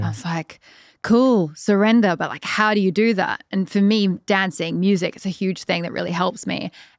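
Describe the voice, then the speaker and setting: A woman's medium-pitched voice at a fairly quick pace, ordinary pitch variation, very clean recording with a silent background. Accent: Australian. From Australia. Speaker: author and meditation teacher. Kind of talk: podcast interview answer. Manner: playful, upbeat.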